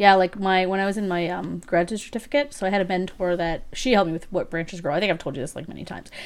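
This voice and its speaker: A woman speaks at a very fast pace in a medium-pitched voice. Her pitch varies in an ordinary way while her loudness swings widely. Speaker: podcast co-host. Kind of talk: casual chat. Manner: light, laughs often.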